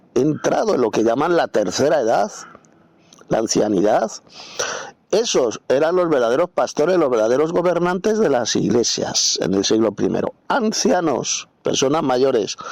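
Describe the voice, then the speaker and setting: A man with a fairly high pitch makes very wide pitch swings at a moderate pace. Noticeable background noise runs underneath. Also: very even loudness. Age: 60s. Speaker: Bible teacher. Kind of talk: Bible commentary lecture. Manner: spontaneous, unscripted.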